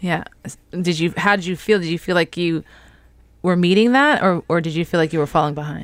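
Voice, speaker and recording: Talking at a fairly quick pace broken by long, frequent pauses, a woman with a New York accent uses a fairly low pitch with ordinary pitch variation. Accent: New York American. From New York City. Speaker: podcast host. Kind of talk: casual interview chat. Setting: video call.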